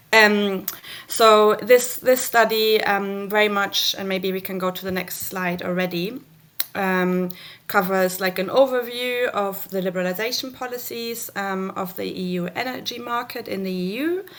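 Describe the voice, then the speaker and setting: A woman speaks with a German accent at a moderate pace. Her pitch is medium and her intonation fairly even. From Germany. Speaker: researcher. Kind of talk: conference presentation. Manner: halting, many fillers.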